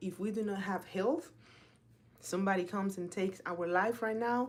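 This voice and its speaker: A woman with a Spanish accent talks at medium pitch and a moderate pace. Her tone is animated, with ordinary pitch variation. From Dominican Republic. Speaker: health and fitness coach. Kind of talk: casual live talk.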